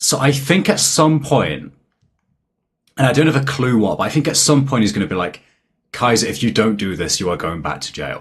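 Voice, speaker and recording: Speech in a British accent moves at a fairly quick pace, with vocal fry and very wide pitch swings. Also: man, medium pitch for a man. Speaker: anime YouTuber. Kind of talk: casual chat. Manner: hesitant, many fillers.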